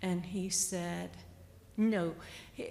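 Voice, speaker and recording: Showing vocal fry, a woman speaks at a fairly low pitch with fairly even intonation. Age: 60s. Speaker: patient sharing experience. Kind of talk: panel discussion.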